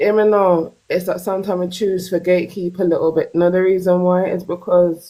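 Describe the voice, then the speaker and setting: Woman at medium pitch and moderate pace, her tone dark and mellow. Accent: Jamaican. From Jamaica. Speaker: caller on a live stream discussion. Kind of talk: live stream debate.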